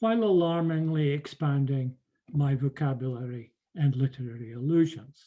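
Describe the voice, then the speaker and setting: A man's somewhat breathy voice with a dark, mellow tone, fairly high pitch, lively intonation, very even loudness and a moderate pace. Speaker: professor. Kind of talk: lecture. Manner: formal.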